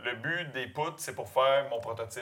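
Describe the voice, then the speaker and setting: A man in a Quebec accent at a moderate pace. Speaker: pig farmer. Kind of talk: casual interview.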